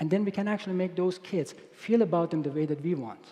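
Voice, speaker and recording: A man speaks with a Persian accent. His intonation is lively. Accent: non-native English accent, Persian. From Iran. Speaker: robotics researcher. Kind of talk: conference keynote.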